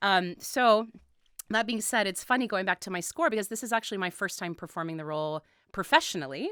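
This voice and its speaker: A woman talks at a very fast pace with a bright, sharp tone. The recording is very clean, with a silent background. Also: medium pitch for a woman. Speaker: opera singer. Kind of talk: interview. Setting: radio studio. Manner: hesitant, many fillers.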